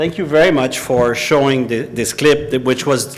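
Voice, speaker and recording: Noticeable background noise behind a male speaker with ordinary pitch variation. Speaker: former intelligence investigator. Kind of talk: public talk.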